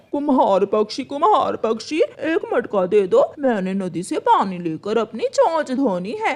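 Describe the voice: A cartoonish character voice speaks at a high pitch and a fairly slow pace. It swings very widely in pitch and takes hardly any pauses.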